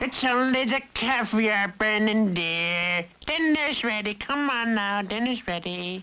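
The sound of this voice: In a cartoonish character voice, a female-sounding speaker goes at a fairly slow pace with hardly any pauses and a fairly high pitch for a woman.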